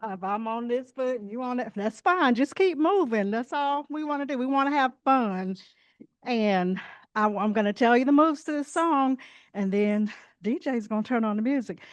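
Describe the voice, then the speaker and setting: A high-voiced woman speaks with lively intonation. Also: moderate pace, quiet background. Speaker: chair fitness instructor. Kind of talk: fitness class instructions. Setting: library event room with audience. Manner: soft-spoken.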